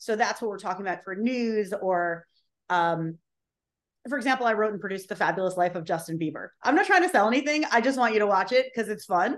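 A voice speaks at a fairly quick pace with ordinary pitch variation over a quiet background. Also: woman. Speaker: social video strategist and on-camera coach. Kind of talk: casual interview chat about video tips. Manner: fast talker, high energy.

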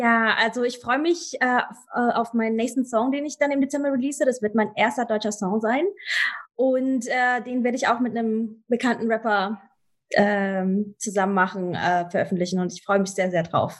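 Against a quiet background, a woman with a fairly high pitch speaks at a moderate pace. Her tone is energetic, with ordinary pitch variation. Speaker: soul singer. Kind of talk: casual interview. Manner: halting, many fillers; lively, energetic.

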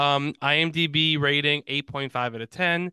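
Speaking with a New York accent, a man uses a fairly high pitch with ordinary pitch variation. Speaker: movie podcast host. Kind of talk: casual, conversational.

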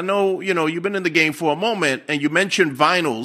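Rushing at a very fast pace, a man speaks at a high pitch with a bright, sharp tone. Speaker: podcast host and hip hop journalist. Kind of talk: interview.

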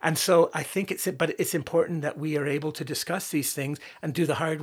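With a very clean recording and a silent background, a man speaks fairly quickly at a fairly high pitch and with fairly even intonation. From Canada, born in Northern Ireland. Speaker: writer and musician. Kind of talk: interview conversation. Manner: halting, many fillers.

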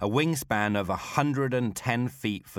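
A man with an unremarkable speaking voice talks at a moderate pace with lively intonation on a very clean recording with a silent background. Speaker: podcast host and storyteller. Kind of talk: history documentary narration. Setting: studio recording in Warsaw. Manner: measured, storytelling narration with vivid detail; formal, polished scripted delivery.

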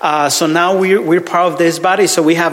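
Speaking at a fairly quick pace in a Mexican accent, the voice stays monotone and flat, with noticeable background noise. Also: man. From Mexico; Ciudad Juarez, northern Mexico. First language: Spanish. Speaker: visiting minister, preacher. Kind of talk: sermon. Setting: church with congregation. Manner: halting, hesitant, repeats words; friendly, joking.

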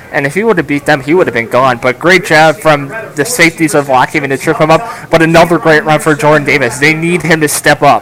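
An enthusiastic man with a fairly high pitch rushes at a very fast pace with hardly any pauses, over noticeable background noise. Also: ordinary pitch variation. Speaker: radio color commentator. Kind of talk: live game analysis as color commentary. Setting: stadium press box, radio broadcast. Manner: conversational, analytical, enthusiastic.

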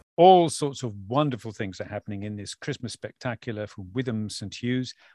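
Here a man speaks at a moderate pace. The sound is dry and close, with no echo. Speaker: radio presenter. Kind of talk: radio DJ patter. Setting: remote link from home back bedroom. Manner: warm, upbeat, chatty.

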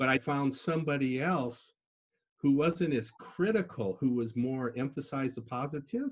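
This man speaks at a moderate pace with vocal fry in a medium-pitched voice. His pitch swings very widely. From US Midwest (Minnesota, Iowa). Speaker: podcast guest, engineer and martial artist. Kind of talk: casual interview.

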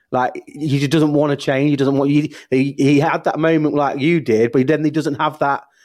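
Speaking with a British accent at a moderate pace, a man uses a fairly high pitch and a monotone, flat intonation. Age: 30s. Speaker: podcast host. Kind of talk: casual interview chat.

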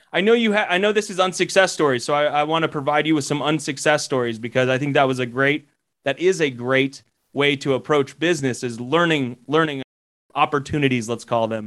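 A man with an unremarkable speaking voice talks at a fairly quick pace in a fairly high pitch with ordinary pitch variation. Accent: American. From Colorado. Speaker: commercial real estate educator. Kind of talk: interview.

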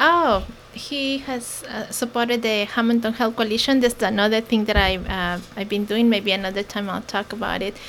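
A woman's fairly high voice at a moderate pace, with ordinary pitch variation and noticeable background noise. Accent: Mexican. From Mexico. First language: Mexican Sign Language, then Spanish. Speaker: nonprofit founder. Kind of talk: interview.

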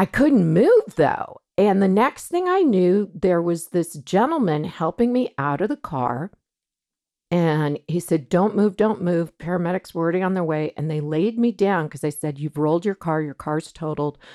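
A plain, everyday voice with lively intonation at a moderate pace, in a very clean, silent recording with a dry, close sound and no echo. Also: woman, fairly low pitch for a woman. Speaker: mother of a podcast host. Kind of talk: casual chat.

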